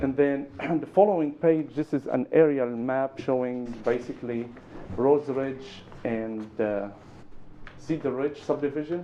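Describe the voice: The delivery is fairly slow, with a dark, mellow tone and ordinary pitch variation. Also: man, medium pitch for a man.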